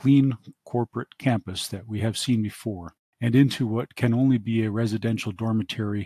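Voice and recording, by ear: This is reading aloud in a natural voice, with fairly even intonation. The background is quiet.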